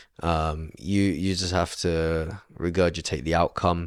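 With a London accent, a man speaks at a fairly slow pace. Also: very clean recording, silent background. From London, England. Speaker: aeronautical engineer. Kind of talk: interview.

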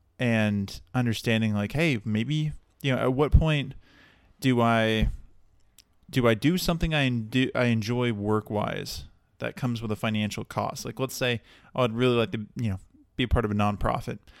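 A man with a plain, everyday voice and an American accent speaks at a moderate pace. His pitch is medium with ordinary pitch variation, on a very clean recording with a silent background. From Texas, Dallas area. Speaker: podcast host. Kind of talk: solo podcast monologue. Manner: casual with many fillers.

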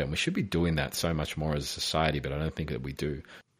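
Very deep and low in pitch, a man in an Australian accent speaks at a very fast pace with fairly even intonation, in a very clean recording with a silent background. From Australia, Melbourne. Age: 30s. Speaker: inspirational speaker and consultant. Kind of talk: interview.

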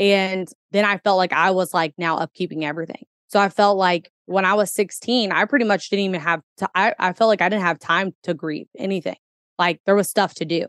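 A woman with an American accent talks at a fairly quick pace in a medium pitch, her intonation fairly even and the sound dry and close with no echo. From US Midwest, Kentuckiana area. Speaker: entrepreneur and mother. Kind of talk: casual interview chat.

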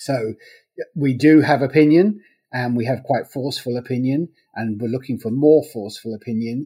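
With an English accent, a man talks at a fairly quick pace and ordinary pitch variation. His tone is dark and mellow. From England. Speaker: legal news publisher. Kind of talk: interview. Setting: remote call.

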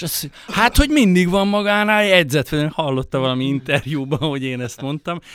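With hardly any pauses, a man talks at a fairly quick pace in a fairly high pitch, his intonation lively and his voice an unremarkable speaking voice. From Hungary, Budapest. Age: 50s. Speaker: writer and poet. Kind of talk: casual chat. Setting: studio.

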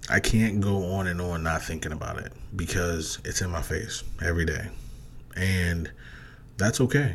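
In an American accent, a man speaks at a moderate pace with a very deep, low pitch. He takes long, frequent pauses. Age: 30s. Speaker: podcast host. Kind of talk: casual solo podcast monologue. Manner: monotone when not excited; filler-heavy, halting.

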